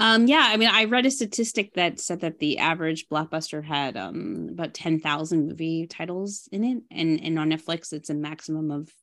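A woman's unremarkable speaking voice with a Canadian accent, fairly low in pitch, lively in intonation, at a moderate pace over a quiet background. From Ontario, Canada (Burlington). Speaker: film director. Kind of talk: interview.

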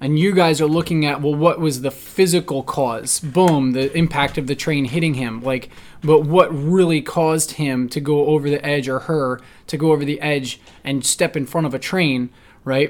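Spoken at a moderate pace with fairly even intonation, this is an unremarkable speaking voice. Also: man, fairly high pitch for a man. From New Jersey. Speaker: podcast host, firearms instructor. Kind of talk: casual chat.

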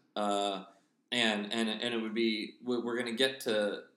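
A man with an American accent speaks very slowly at a medium pitch, with ordinary variation in his pitch. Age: 30s. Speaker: podcast host. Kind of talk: casual comedic chat. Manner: rambling, hesitant.

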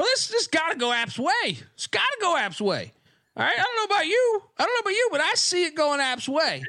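Put-on character voice in a Southern US accent, extremely high in pitch with very wide pitch swings, delivered at a fairly quick pace. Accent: Southern drawl. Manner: homerish, enthusiastic.

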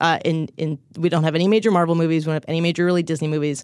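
The woman's pitch is fairly low. She talks at a very fast pace. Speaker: journalist covering streaming. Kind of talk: casual tech podcast discussion.

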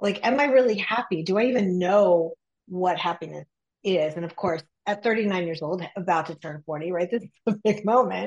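Speaking at a moderate pace, a woman with a medium pitch and ordinary pitch variation has an unremarkable speaking voice. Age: 50s. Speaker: executive coach. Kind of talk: interview conversation.

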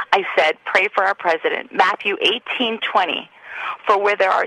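Woman's voice, dry and close with no echo, against noticeable background noise. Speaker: caller. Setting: phone call.

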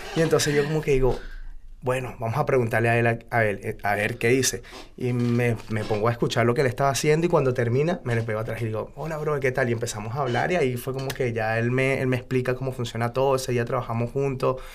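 A man talks very fast. His intonation remains fairly even. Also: medium pitch for a man. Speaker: freestyle rapper. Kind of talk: interview.

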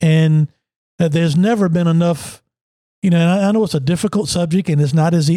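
Speaking at a fairly quick pace with a Virginia accent, a man uses a high pitch, ordinary pitch variation and a dark, mellow tone. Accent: Southern US (Virginia). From Emporia, southern Virginia. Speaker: former racing driver and sports analyst, podcast co-host. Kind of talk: casual political chat.

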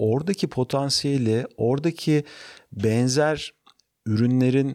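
A man with an unremarkable speaking voice, medium pitch and ordinary pitch variation, on a very clean recording with a silent background. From Turkey, Ankara. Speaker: startup founder and CEO. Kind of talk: interview.

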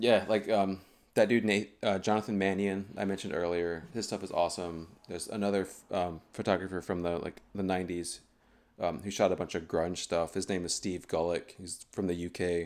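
On a very clean recording with a silent background, a man with an American accent talks at a fairly quick pace in a very deep, low monotone. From US South, North Carolina (High Point, Greensboro). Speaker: photographer. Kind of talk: casual chat.

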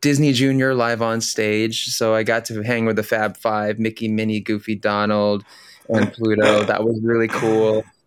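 A man speaks at a medium pitch and a moderate pace. The sound is dry and close with no echo, on a very clean recording with a silent background. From Philippines (Manila), moved to US at nine. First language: Tagalog. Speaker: Broadway performer. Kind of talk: interview conversation. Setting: podcast interview.

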